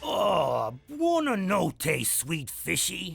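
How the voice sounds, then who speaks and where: A man uses a high-pitched, cartoonish character voice. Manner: blustery.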